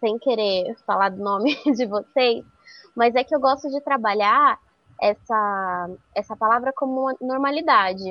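A woman speaks at a fairly slow pace and fairly high pitch, with ordinary pitch variation. She has a plain, everyday voice. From interior of São Paulo state (Araras). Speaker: magazine journalist. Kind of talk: podcast interview.

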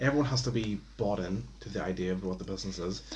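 A man's voice with vocal fry and lively intonation. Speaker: podcast host. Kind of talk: casual chat. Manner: casual, rambling.

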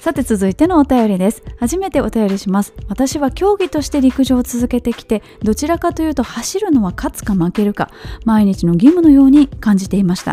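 A high-pitched woman's voice at a fairly quick pace, full of very wide pitch swings, with music in the background. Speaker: podcast host and marathon runner. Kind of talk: solo podcast talk reading listener mail. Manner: casual, chatty.

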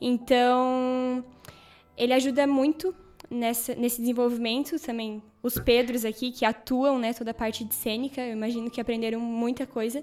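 With noticeable background noise, a woman talks at a moderate pace in a high pitch and a monotone, flat intonation. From Santa Catarina, Brazil. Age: 20s. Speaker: Bible course student. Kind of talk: casual chat.

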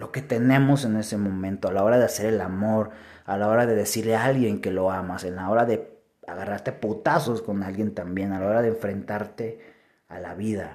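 With a Mexican accent, this man talks at a fairly quick pace. His fairly low pitch keeps a fairly even intonation. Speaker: podcaster. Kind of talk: reflective monologue.

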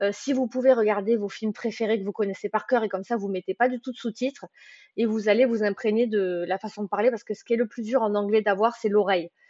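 A woman's fairly high pitch, fairly even intonation and very fast pace. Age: 20s. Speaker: book podcaster. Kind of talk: casual monologue. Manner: talkative; hesitant, many fillers.

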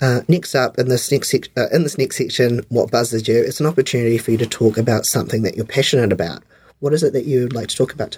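At a very fast pace, a man speaks at a medium pitch with ordinary pitch variation. His voice is somewhat breathy. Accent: New Zealand. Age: 30s. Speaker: podcast host. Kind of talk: interview. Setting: studio.

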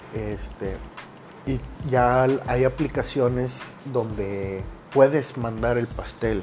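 Amid noticeable background noise, a man speaks very slowly with long, frequent pauses. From Monterrey, Nuevo León, Mexico. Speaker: podcaster. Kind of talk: casual monologue. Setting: home recording during quarantine.

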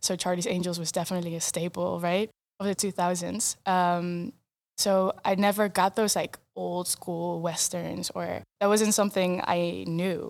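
The recording is very clean, with a silent background. A woman speaks fairly slowly with a Dutch accent. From eastern Netherlands, Arnhem. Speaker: filmmaker and photographer. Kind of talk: interview.

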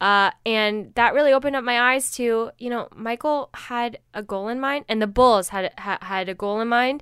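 A woman's fairly high-pitched voice at a moderate pace with ordinary pitch variation, an ordinary speaking voice, dry and close with no echo, in a very clean recording with a silent background. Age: 20s. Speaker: podcast co-host, documentary filmmaker. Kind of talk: casual chat.

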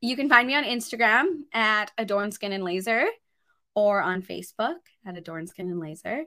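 A woman with a Canadian accent, fairly high in pitch and bright, sharp in tone, at a moderate pace with lively intonation and big swings in loudness. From Grand Prairie, Alberta, Canada. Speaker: skin clinic owner. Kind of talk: casual interview. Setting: studio.

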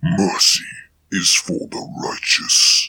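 A man's put-on character voice, growling and fairly high-pitched

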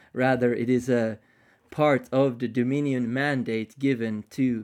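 Speaking fairly slowly with a non-native accent, a man keeps a flat, monotone intonation on a very clean recording with a silent background. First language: not English. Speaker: podcast host. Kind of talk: casual chat. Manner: halting.

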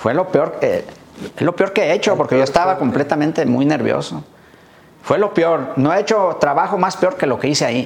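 Through noticeable background noise, a man talks at a fairly quick pace with a high pitch, ordinary pitch variation and very even loudness. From Michoacán, Mexico. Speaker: barber. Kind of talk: interview. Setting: barbershop.

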